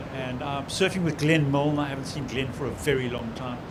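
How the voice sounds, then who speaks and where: A fairly high-pitched man talks, with audible room echo and noticeable background noise around him. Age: 60s. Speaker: surfer in construction products. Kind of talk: casual interview.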